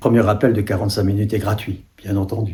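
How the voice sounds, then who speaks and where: A man's dark, mellow tone, somewhat breathy. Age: 70s. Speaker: life coach. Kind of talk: self-promotional talk.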